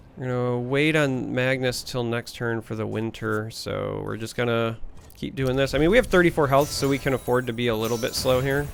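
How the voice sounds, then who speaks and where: Music plays in the background as a man with an American accent talks at a fairly quick pace, his medium-pitched voice keeping a fairly even intonation. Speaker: gaming YouTuber. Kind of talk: gameplay commentary. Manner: casual, with filler hesitations.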